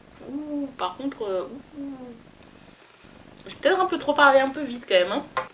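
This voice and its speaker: Over noticeable background noise, a woman talks in a high voice with lively intonation and big swings in loudness. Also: moderate pace. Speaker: beauty vlogger. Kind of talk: casual vlog tutorial. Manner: animated.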